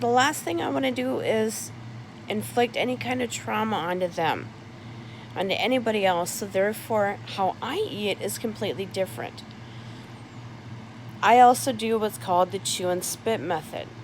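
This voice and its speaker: Long, frequent pauses break up speech at a moderate pace. Noticeable background noise runs underneath. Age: adult. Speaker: vlogger with a feeding tube. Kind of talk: casual informational vlog.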